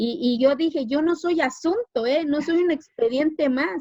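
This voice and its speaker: A woman with a Mexican accent, at a fairly slow pace with ordinary pitch variation. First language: Zapotec (speaking Spanish). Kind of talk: interview.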